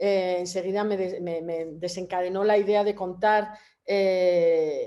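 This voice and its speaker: A woman's dark, mellow tone at a medium pitch. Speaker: photographer. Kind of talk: presentation of own work at a public talk. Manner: fast; hesitant, many repetitions and fillers.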